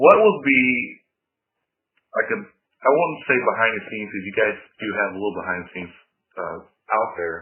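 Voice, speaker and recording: A fairly low male voice with lively intonation, big swings in loudness, and long, frequent pauses. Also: moderate pace. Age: 20s. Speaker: interviewer. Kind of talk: interview.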